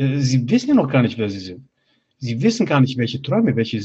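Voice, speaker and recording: A man's somewhat breathy voice with lively intonation. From Bosnia, grew up in Germany from age six. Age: 30s. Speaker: life coach. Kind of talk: interview, personal life story.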